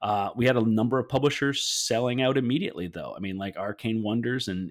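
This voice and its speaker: This man has a normal speaking voice. He talks at a moderate pace and a medium pitch. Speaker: podcast host. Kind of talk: casual chat.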